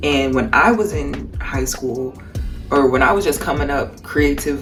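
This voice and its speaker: A woman speaks at a moderate pace in an American accent. Music plays in the background. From Cleveland, Ohio, US. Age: 20s. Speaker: artist. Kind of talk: casual talk to camera.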